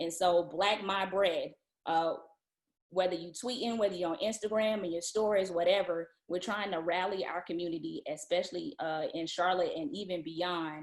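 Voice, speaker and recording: Speaking in a Southern US accent, a woman keeps a moderate pace at a medium pitch with ordinary pitch variation. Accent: Southern, country. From Atlanta, US South. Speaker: event speaker. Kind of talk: virtual event announcement.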